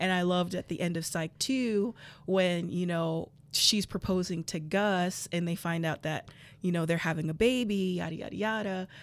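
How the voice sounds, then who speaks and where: A woman's plain, everyday voice with an American accent, fairly low in pitch with fairly even intonation at a moderate pace, on a very clean recording with a silent background. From South Florida. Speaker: film fan guest. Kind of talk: casual chat. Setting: massage therapy office.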